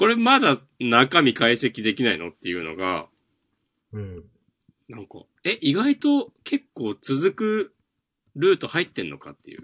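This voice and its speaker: Over a quiet background, a man speaks at a fairly slow pace with long, frequent pauses and big swings in loudness, the sound dry and close with no echo. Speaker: manga podcast co-host. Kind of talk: casual chat.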